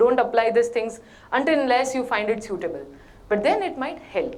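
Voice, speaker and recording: In a Gujarati accent, a high-pitched woman's voice swings very widely in pitch, with audible room echo. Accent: Indian Gujarati. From India, Gujarat (Bhavnagar). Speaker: corporate trainer. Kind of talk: workshop talk. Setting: stage with audience in hotel hall. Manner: Hindi-English code-switching.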